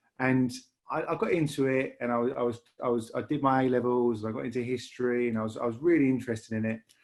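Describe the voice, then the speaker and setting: With a Lancashire accent, a man talks very fast at a medium pitch, his intonation fairly even. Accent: Lancashire, northern English. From northern England, Lancashire (Bury). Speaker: rail industry leader. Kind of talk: podcast interview. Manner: halting, many repetitions and fillers.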